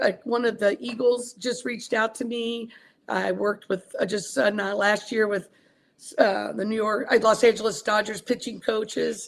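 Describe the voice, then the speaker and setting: A woman with an American accent speaks at a moderate pace, her fairly high pitch showing vocal fry and fairly even intonation. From US South, small-town Kentucky. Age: 60s. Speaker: wrestling coach. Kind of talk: interview.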